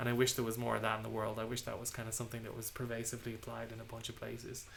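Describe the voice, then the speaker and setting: A man with an Irish accent speaks at a medium pitch in a monotone, flat intonation with vocal fry and audible room echo. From Ireland. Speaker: software engineer streaming a tech talk. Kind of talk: live-streamed technical talk with Q&A. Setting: home live stream. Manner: many fillers and repetitions.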